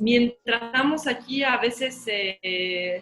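A woman speaks very slowly while noticeable noise fills the background. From Mexico. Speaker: concert pianist. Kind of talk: casual chat.

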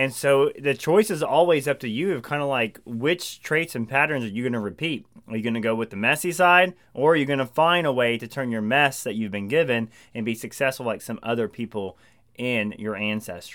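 Recorded very cleanly with a silent background, a man with an American accent talks at a fairly quick pace, his medium-pitched voice full of lively intonation. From eastern Oklahoma. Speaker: podcast co-host, entrepreneur. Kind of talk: casual chat.

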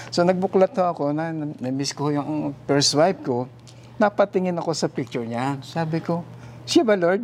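A normal speaking voice from a man, fairly high in pitch, at a moderate pace, with ordinary pitch variation. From Philippines, Infanta, Quezon. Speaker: retired ship captain. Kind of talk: testimony.

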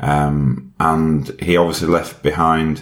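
Very deep, low male speech in a Yorkshire accent, fairly even in intonation, with noticeable background noise. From Yorkshire, England. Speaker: widower and health campaigner. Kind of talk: casual interview conversation about grief.

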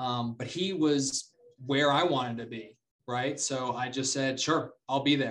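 A man with an American accent, a plain, everyday voice, medium pitch, fairly even intonation and a fairly slow pace. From North Carolina, Charlotte. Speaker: real estate investor. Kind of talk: interview.

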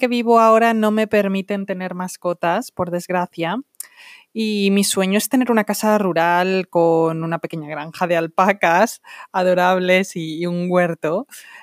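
A woman with a Castilian accent speaks at a fairly slow pace in a medium pitch with ordinary pitch variation, recorded very cleanly against a silent background with a dry, close sound and no echo. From Spain, Salamanca. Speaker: Spanish teacher. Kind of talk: podcast monologue for language learners.

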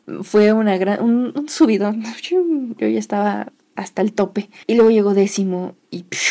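At a fairly slow pace, a woman talks at a medium pitch in a normal speaking voice. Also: ordinary pitch variation. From Mexico, Toluca, State of Mexico. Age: 20s. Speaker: podcaster. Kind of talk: personal storytelling monologue.

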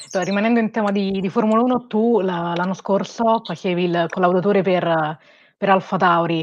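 Against a quiet background, a woman with an unremarkable speaking voice talks at medium pitch and a moderate pace with fairly even intonation. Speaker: interviewer. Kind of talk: interview. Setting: video call.

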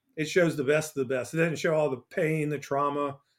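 With an American accent, a man talks in a normal speaking voice, fairly high in pitch and with fairly even intonation. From US South, Port Arthur, Texas. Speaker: author, speaker and former chef. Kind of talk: casual interview.

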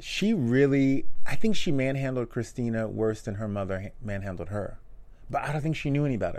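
In a room with audible echo, a man speaks at a fairly quick pace with lively intonation. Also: medium pitch for a man. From Louisiana. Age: 30s. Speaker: TV after-show co-host. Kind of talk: casual chat.

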